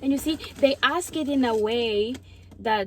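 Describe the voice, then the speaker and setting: A woman speaks with an African accent. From Mozambique. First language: Portuguese. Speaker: YouTuber. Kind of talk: casual chat. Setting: outdoors.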